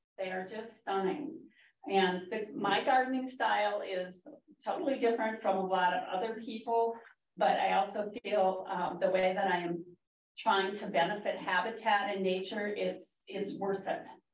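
Speaking in an American accent at a moderate pace, a woman uses medium pitch and ordinary pitch variation, with audible room echo. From Minnesota. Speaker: master gardener. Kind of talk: public talk.

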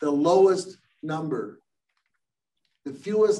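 The voice has a dark, mellow tone and an American accent, with ordinary pitch variation. It moves at a fairly slow pace over a quiet background. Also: man. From US Midwest. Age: 70s. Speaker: engineer and company founder; guest. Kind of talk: lecture. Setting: video call. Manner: halting, many filler words. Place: meeting room. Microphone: camera far.

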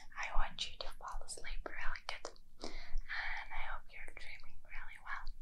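Soft-spoken whispering comes at a fairly slow pace. Loud background noise fills the recording. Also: woman. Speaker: ASMR creator. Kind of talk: soft ASMR chat to viewer. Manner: soft intimate ASMR whisper. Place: home room. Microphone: phone near.

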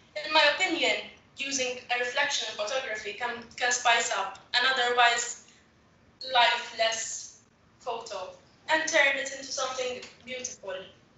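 With long, frequent pauses and audible room echo, the speaker moves at a moderate pace with ordinary pitch variation. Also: woman, high pitch for a woman. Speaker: photographer. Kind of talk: webinar presentation. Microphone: video call.

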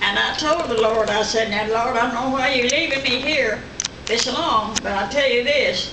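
A high-pitched woman's voice amid noticeable background noise. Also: ordinary pitch variation, moderate pace. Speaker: grandmother at her 100th birthday. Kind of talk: speech at a birthday party. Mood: earnest, reflective. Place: home room. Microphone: camera far.

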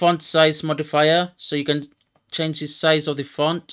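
The background is quiet. The speech moves at a very slow pace. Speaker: streamer. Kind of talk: tutorial. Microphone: headset.

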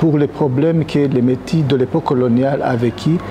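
A man's fairly even intonation comes through over light background noise. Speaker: association president. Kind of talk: panel debate. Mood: serious, earnest. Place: hall. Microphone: lapel.

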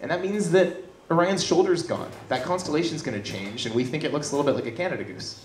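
A man with a high-pitched voice at a very fast pace, audible room echo and noticeable background noise. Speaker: science communication video producer. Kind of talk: stage presentation. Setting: stage with audience.

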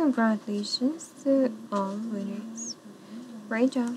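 Over noticeable background noise, a woman mumbles at a very slow pace in a fairly high voice with ordinary pitch variation. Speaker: casino dealer. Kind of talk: live casino game calling. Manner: pleasantly mumbling. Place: studio.

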